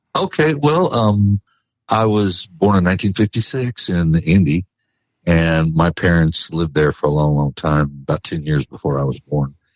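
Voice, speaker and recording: Very deep and low, a man's voice carries an American accent and ordinary pitch variation. The recording is very clean with a silent background and a dry, close sound with no echo. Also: moderate pace. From Indianapolis and Florida (St. Petersburg area). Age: 60s. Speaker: country singer. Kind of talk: casual interview chat.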